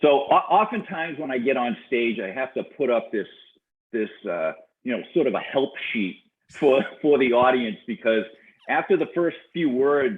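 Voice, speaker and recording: A man with a strong Boston accent, fairly high in pitch, with lively intonation at a moderate pace. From Boston, Massachusetts. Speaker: business coach and serial entrepreneur. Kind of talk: interview conversation. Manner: halting, many repetitions and fillers.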